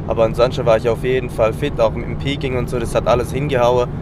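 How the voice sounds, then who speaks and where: Noticeable background noise accompanies a man whose speech moves at a fairly quick pace. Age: 20s. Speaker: amateur athlete. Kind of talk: interview. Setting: on the road, in a car.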